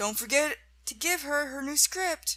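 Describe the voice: A woman puts on a character voice with a high pitch and a bright, sharp tone. Her intonation is lively and her pace fairly slow.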